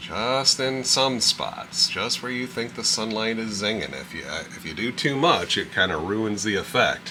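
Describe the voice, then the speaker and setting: Over noticeable background noise, a man with a fairly low pitch speaks in a relaxed tone at a fairly slow pace. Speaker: painting instructor. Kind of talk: painting tutorial. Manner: relaxed, slow.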